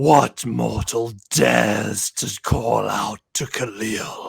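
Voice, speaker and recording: A man's raspy, put-on character voice at a medium pitch and a very slow pace. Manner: booming, bellowing.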